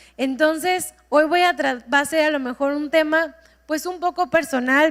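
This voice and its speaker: A woman speaks with ordinary pitch variation. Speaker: preacher. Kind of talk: sermon.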